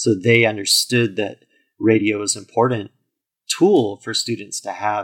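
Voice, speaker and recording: On a very clean recording with a silent background, a man with a normal speaking voice talks at a moderate pace and medium pitch, his intonation fairly even. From US, military family (moved around, incl. Germany). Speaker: founder of an internet radio station. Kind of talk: interview.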